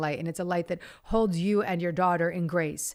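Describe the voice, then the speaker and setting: A woman with a fairly low pitch talks at a fairly quick pace on a very clean recording with a silent background. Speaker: spiritual teacher and podcast host. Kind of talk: channeled guidance to an audience member. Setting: stage with audience. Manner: fast.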